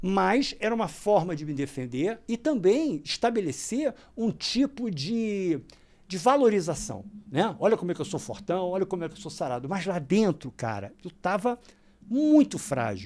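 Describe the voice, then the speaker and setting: Animated in tone, the speaker moves at a moderate pace with very wide pitch swings on a very clean recording with a silent background. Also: man, high pitch for a man. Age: 60s. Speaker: yoga and meditation teacher. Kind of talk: casual interview chat.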